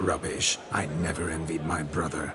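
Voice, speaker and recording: Over clear background noise, a man performs a cartoonish character voice, very deep and low, at a moderate pace. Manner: theatrical, flowery.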